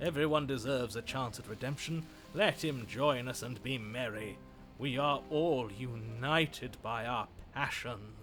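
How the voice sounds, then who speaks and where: Using a put-on character voice, a man speaks in a gravelly tone at a medium pitch and moderate pace, with clear music in the background. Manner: gentle, warm, forgiving.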